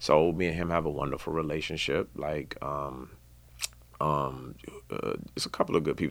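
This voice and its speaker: On a very clean recording with a silent background, a man speaks. He has an American accent and a moderate pace. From Washington DC area (Maryland suburbs). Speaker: music industry executive. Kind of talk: interview. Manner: halting, many fillers; casual.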